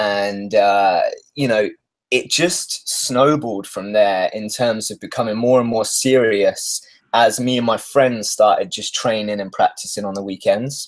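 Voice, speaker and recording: At a moderate pace, a man speaks in a British accent. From UK. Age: 30s. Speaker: stuntman. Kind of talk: interview.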